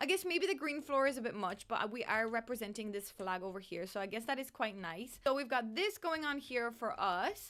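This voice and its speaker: A woman speaks in an animated tone at a fairly quick pace, with hardly any pauses. Her fairly high voice swings very widely in pitch. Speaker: gaming YouTuber. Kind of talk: casual gameplay commentary. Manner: stumbling over words.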